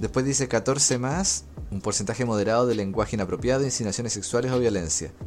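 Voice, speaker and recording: A man's medium-pitched voice with lively intonation at a very fast pace. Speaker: gaming podcast host. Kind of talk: casual chat.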